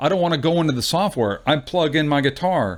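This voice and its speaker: Fairly quick speech from a man, ordinary in pitch variation. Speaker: YouTuber reviewing music gear. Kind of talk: casual gear walkthrough. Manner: loud; rambling, hesitant with fillers.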